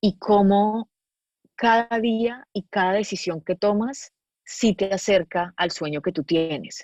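Against a quiet background, a woman speaks at a very slow pace with medium pitch, ordinary pitch variation, and a dry, close sound with no echo. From Colombia, Medellín. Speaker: actress and producer. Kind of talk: casual interview chat.

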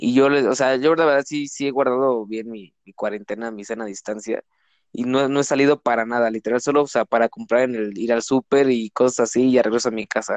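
A man with a normal speaking voice talks at a medium pitch and a fairly quick pace with fairly even intonation and big swings in loudness, in a dry, close sound with no echo and a quiet background. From Mexico, Cancún, Quintana Roo. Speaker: law student. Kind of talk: casual chat.

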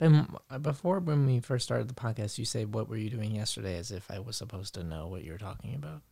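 The voice runs at a very fast pace with hardly any pauses, somewhat breathy and dark, mellow in tone. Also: man, lively intonation. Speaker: podcast co-host. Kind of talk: casual banter. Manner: joking, playful.

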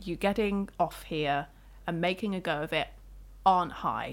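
A woman's voice is heard on a very clean recording with a silent background. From Isle of Wight, England. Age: 20s. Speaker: photographer and blogger. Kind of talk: casual chat.

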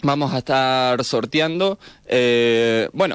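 Medium-pitched speech from a man over a quiet background. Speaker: radio host. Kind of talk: casual chat.

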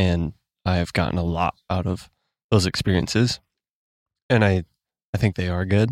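A man with an American accent, very deep and low in pitch, with fairly even intonation, a moderate pace and long, frequent pauses, in a dry, close sound with no echo and a very clean recording with a silent background. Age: 20s. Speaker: podcast host. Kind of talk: casual chat about faith.

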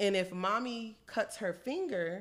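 A woman with a plain, everyday voice speaks at a fairly slow pace with lively intonation. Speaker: podcast co-host. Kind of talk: casual chat.

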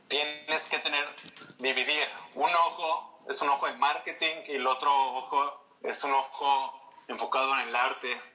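A man speaks in a fairly high pitch with a Mexican accent. His delivery is fairly slow, with monotone, flat intonation. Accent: Mexican Spanish (Jalisco). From Mexico, Guadalajara (Jalisco). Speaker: fashion designer and creative director. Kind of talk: casual interview.

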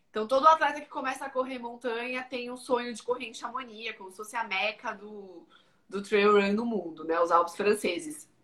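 Bright and sharp in tone, a woman speaks at a moderate pace with fairly high pitch, lively intonation, and big swings in loudness. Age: 30s. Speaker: ultramarathon trail runner. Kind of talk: casual interview.

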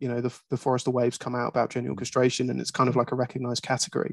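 A man's medium-pitched voice in a southern English accent. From England (Croydon). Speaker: regional marketing director. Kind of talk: interview.

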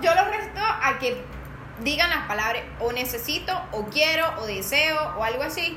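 A raised, projected voice with very wide pitch swings at a fairly slow pace, with audible room echo and noticeable background noise. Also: woman, high pitch for a woman. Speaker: podcast co-host. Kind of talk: casual chat.

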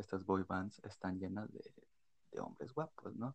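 With vocal fry and lively intonation, a man speaks at a moderate pace in a fairly low pitch. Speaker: podcast co-host. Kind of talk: casual chat.

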